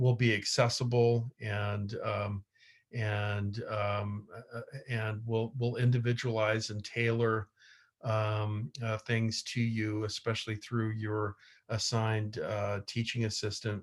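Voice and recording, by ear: A man's fairly low voice, slow and with little pitch movement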